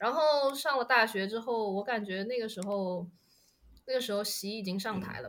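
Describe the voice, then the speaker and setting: A woman's bright, sharp tone sits at a medium pitch, moving at a fairly slow pace with ordinary pitch variation. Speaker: podcast guest. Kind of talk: casual chat.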